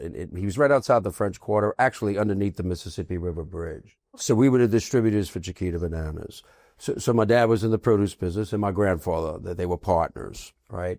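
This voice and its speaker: A man talks at a very fast pace with hardly any pauses, his pitch fairly low and its variation ordinary, on a very clean recording with a silent background. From New Orleans, Louisiana. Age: 60s. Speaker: restaurant and food business entrepreneur. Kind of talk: casual interview chat.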